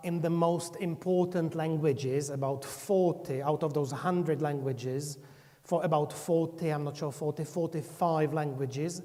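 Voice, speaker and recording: The pace is fairly slow. It is spoken with a Czech accent. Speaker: software company representative presenting a corpus tool. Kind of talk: conference presentation. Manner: halting, with fillers and restarts.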